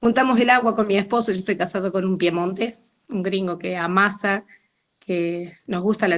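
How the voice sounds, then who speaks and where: A woman talks at a moderate pace in a medium pitch. Hers is an ordinary speaking voice. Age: 60s. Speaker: participant sharing experience. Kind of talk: testimony.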